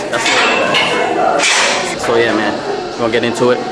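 Loud noise fills the background while a man talks. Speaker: vlogger. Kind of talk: casual vlog chat. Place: gym. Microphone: phone near.

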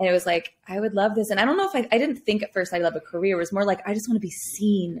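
A woman talks at a very fast pace with hardly any pauses. Light background noise is present. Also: ordinary pitch variation. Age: 30s. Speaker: singing coach. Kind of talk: casual chat. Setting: studio. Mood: warm, reflective. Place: home room.

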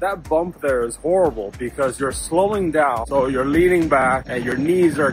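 A man speaks at a moderate pace with ordinary pitch variation. Clear music plays in the background, and the sound is dry with no echo. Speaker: commuter vlogger. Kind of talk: casual vlog commentary. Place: street. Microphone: phone near.

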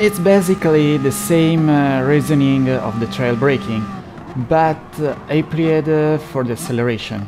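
A man talks with a non-native accent. Music plays behind him. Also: fairly high pitch for a man, ordinary pitch variation, moderate pace. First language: not English. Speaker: sim racing gameplay creator. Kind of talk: tutorial explanation over gameplay. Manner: hesitant, many filler sounds.

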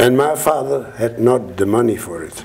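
A man with a Dutch accent speaks at a fairly slow pace. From Netherlands. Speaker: Holocaust survivor. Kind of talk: public talk to an audience. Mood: earnest, reflective. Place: hall. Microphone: lapel.

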